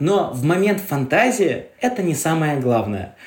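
A fairly high-pitched man with an animated tone and very wide pitch swings, amid audible room echo and noticeable background noise. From Karelia, Russia. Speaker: travel guide and glamping owner. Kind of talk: casual interview.

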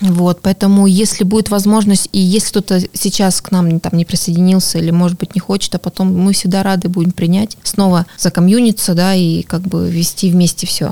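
A woman speaks at a moderate pace in a dark, mellow tone. Her intonation is monotone and flat, and the sound is dry and close with no echo. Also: medium pitch for a woman, hardly any pauses. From Norilsk, Russian Far North. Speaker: amateur runner and running community ambassador. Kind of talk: podcast interview. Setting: studio.

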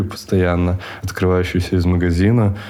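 Over noticeable background noise, a man with a very deep, low voice speaks at a fairly slow pace in a monotone, flat way. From Siberia, Russia (Chita). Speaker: coffee shop owner. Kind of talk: casual interview. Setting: studio.

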